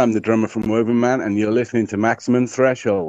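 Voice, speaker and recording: Here a man talks with a British accent. His pitch sits in the medium range. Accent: British-sounding. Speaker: drummer in a band. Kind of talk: casual interview chat.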